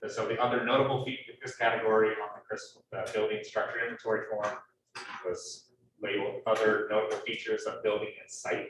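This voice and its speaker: The man talks at a fairly quick pace. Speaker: city planning staff. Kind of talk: public meeting. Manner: halting.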